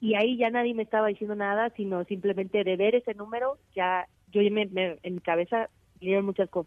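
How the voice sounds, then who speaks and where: In an ordinary speaking voice, a woman talks at a fairly quick pace with a medium pitch and fairly even intonation. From Mexico, Aguascalientes. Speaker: mountaineer. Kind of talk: interview. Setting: phone call.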